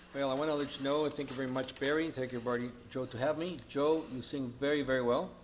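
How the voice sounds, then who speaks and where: A man with a Spanish accent talks at a very fast pace with hardly any pauses, his fairly high pitch held in a flat monotone, and room echo is audible. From grew up in Mexico and California. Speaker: political candidate. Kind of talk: debate opening statement. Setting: stage with audience in a church.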